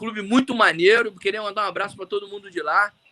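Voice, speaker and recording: At a very fast pace, a man speaks in a raised, projected voice, high in pitch and bright and sharp in tone, with a dry, close sound and no echo. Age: 40s. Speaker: orthopedic surgeon and swimmer. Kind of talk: casual chat. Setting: live video call. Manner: talkative.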